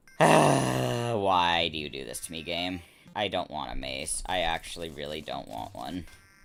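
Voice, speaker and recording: Over noticeable background noise, a man with a very deep, low voice speaks at a fairly slow pace with lively intonation. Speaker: gaming streamer. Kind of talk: casual gameplay livestream commentary. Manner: hesitant, many fillers.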